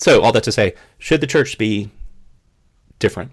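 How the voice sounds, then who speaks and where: With a Southern US accent and some vocal fry, a man speaks at medium pitch and a fairly quick pace. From US South. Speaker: podcast co-host. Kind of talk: casual chat. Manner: fast talker.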